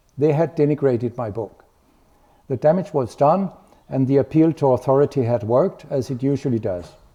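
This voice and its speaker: At a fairly quick pace, a man talks with fairly high pitch and ordinary pitch variation. His tone is dark and mellow. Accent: Danish. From Denmark. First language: Danish. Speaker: medical researcher. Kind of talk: lecture.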